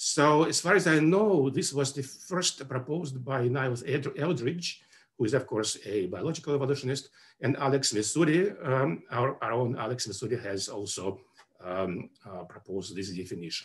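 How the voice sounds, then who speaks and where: A man's somewhat breathy voice with very wide pitch swings. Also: moderate pace. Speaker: webinar presenter. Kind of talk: lecture. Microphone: webcam.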